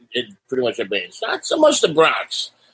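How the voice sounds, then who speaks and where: Someone speaks at a moderate pace in a New York accent. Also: man. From New York City, Staten Island. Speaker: punk singer. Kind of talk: casual interview. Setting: video call.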